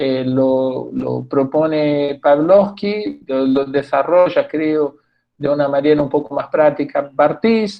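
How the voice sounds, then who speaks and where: The speech goes at a very slow pace with ordinary pitch variation. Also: man, fairly high pitch for a man. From Brazil. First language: Portuguese (speaking Spanish). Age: 60s. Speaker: theatre professor and researcher. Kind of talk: talk at a public discussion event. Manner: halting, many restarts and fillers.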